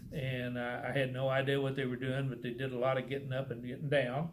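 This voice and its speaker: A man with a Texan accent talks at a fairly quick pace and a medium pitch. There is audible room echo. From Texas. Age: 70s. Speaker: churchgoer sharing faith story. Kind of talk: testimony. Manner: halting.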